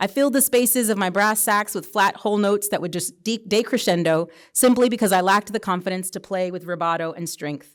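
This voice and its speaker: A woman speaks at a fairly quick pace with medium pitch and ordinary pitch variation. The recording is very clean, with a silent background. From US military bases (Louisiana, Germany, Tennessee). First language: Spanish. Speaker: author. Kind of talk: reading aloud.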